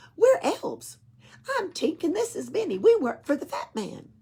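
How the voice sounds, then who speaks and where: A squeaky, put-on character voice at an extremely high pitch moves at a moderate pace. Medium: read story. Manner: teasing, cheeky.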